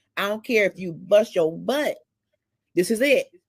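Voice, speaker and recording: With lively intonation, a woman talks in a fairly high pitch. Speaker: livestream talk show host. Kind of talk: casual discussion. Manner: loud.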